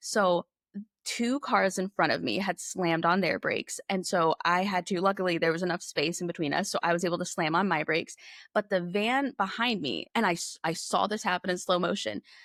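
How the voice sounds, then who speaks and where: In a very clean recording with a silent background, a woman talks at a fairly quick pace in an ordinary speaking voice. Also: medium pitch for a woman, ordinary pitch variation, dry, close sound with no echo. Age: 30s. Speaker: podcast guest, car crash survivor. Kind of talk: personal testimony in conversational interview.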